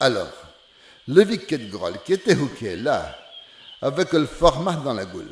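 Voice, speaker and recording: A man with a fairly high pitch speaks fairly slowly, pausing long and often. His pitch swings very widely, and his loudness shifts greatly. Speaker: storyteller. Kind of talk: folk fable telling in dialect. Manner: homely, conversational.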